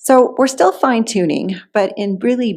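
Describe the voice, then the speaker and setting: A woman with a normal speaking voice, ordinary pitch variation and a fairly slow pace. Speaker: interim minister. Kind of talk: sermon to a congregation.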